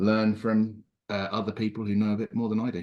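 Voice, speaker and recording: With an English accent, a man talks at a fairly quick pace. His fairly low voice stays flat and monotone. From England. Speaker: prospective club member, amateur radio operator. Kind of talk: self-introduction at a club meeting.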